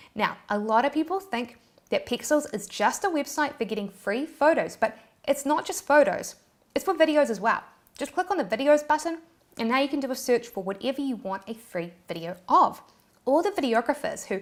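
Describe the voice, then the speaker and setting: A woman with a New Zealand accent speaks fairly quickly in an animated tone, her high pitch swinging very widely. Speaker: YouTube tutorial creator. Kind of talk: tutorial.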